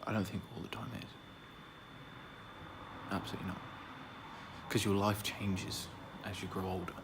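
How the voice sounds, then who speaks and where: A man's soft-spoken whispering at a fairly quick pace, broken by long, frequent pauses. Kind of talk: ASMR roleplay whispering to a friend. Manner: whispered, soft-spoken.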